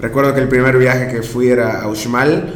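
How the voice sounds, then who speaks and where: With audible room echo and noticeable background noise, a man speaks at a medium pitch. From Mérida, Yucatán, Mexico. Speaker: podcast co-host and audio producer. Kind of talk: casual chat.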